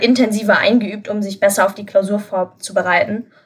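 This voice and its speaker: Somewhat breathy and fairly high in pitch, a woman speaks at a moderate pace with fairly even intonation. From Germany, Lower Rhine (Krefeld). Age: 20s. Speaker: university student and tutor. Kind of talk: interview.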